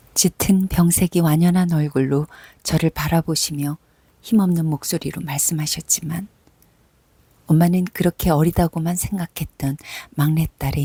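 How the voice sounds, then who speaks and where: Her very deep, low pitch and dark, mellow tone come through somewhat breathy as this woman speaks at a fairly slow pace with fairly even intonation, in a dry, close sound with no echo. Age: 50s. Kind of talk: reading her own personal essay aloud. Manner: soft-spoken, emotional.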